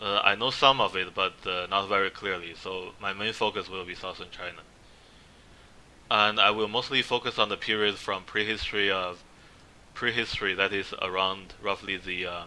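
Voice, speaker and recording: A man with a non-native accent, fairly low pitch, moderate pace and monotone, flat intonation. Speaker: history presenter. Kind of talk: slide presentation lecture. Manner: halting, many fillers.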